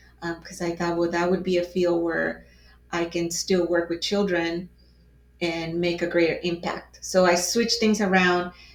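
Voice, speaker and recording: A woman with a Spanish accent talks at a moderate pace in a fairly low pitch, her intonation monotone and flat. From Mexico (Mexico City). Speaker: advocate for crime victims. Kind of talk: casual conversation. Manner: halting, many fillers.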